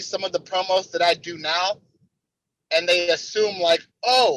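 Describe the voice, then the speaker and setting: Speaking with an American accent, a man uses a raised, projected voice with a bright, sharp tone at a fairly slow pace. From Cleveland, Ohio, US Midwest. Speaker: pro wrestler. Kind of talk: interview. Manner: repeats words, halting at times.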